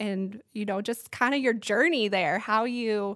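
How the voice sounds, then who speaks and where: This woman's voice sits at a fairly high pitch. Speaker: podcast host. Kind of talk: casual interview chat. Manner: animated.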